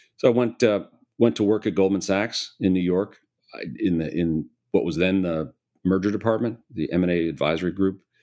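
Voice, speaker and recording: Recorded very cleanly over a silent background, a man with an American accent talks at a fairly quick pace. His very deep, low voice has a dark, mellow tone and ordinary pitch variation. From US Midwest, Chicago area. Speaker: private equity investor, CEO. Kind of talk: interview conversation.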